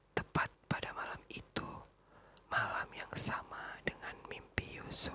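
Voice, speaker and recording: The speech is whispered at a fairly unhurried rate. Background noise is noticeable throughout. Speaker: ASMR reader; teacher. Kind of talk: ASMR story reading.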